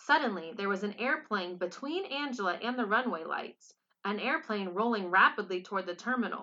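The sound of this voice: An unforced reading voice over a quiet background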